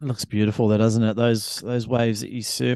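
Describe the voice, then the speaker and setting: A medium-pitched man with a New Zealand accent, over a quiet background. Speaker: podcast co-host. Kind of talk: casual chat.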